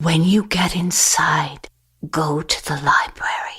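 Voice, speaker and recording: A woman uses a put-on character voice at a fairly low pitch. She talks at a fairly slow pace. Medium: read story. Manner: mutters number sequences.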